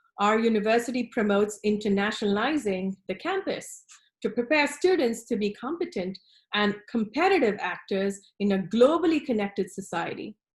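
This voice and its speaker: A woman's fairly high, somewhat breathy voice with lively intonation. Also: moderate pace. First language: not English. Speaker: design professor. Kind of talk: recorded conference presentation. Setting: online presentation with screen share. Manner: formal.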